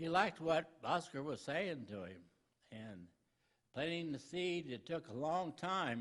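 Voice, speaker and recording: A man with a plain, everyday voice speaks at a fairly slow pace, his pitch fairly high and his intonation lively. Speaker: preacher. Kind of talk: sermon. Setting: church.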